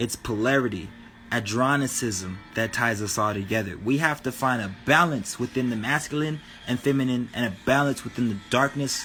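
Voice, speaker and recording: Music plays in the background. A man speaks at a medium pitch and a moderate pace, with ordinary pitch variation. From New Mexico, Albuquerque. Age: 20s. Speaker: spirituality livestreamer. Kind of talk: casual livestream talk. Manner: animated.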